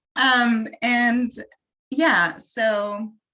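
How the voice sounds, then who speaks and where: A woman with a French accent. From France. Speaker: wellness coach. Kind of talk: workshop presentation. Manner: halting, many fillers.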